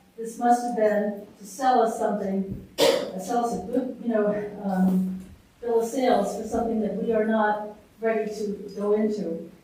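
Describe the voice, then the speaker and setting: Amid noticeable background noise and audible room echo, a fairly high-pitched woman talks at a moderate pace in a monotone, flat intonation. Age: 70s. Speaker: resident speaking at public hearing. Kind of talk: public comment at town meeting. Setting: public hearing.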